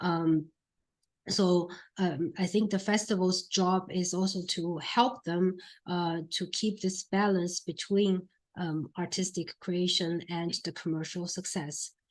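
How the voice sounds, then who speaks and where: A woman with a Chinese accent speaks at a very slow pace and a medium pitch, with monotone, flat intonation. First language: Mandarin Chinese. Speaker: film critic and producer giving a talk. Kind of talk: lecture. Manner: halting, many fillers.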